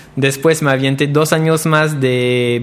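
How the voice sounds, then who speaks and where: Fairly even in intonation, a man with a French accent speaks in a fairly high voice. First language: French (speaking Spanish). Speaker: pastry chef. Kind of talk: interview.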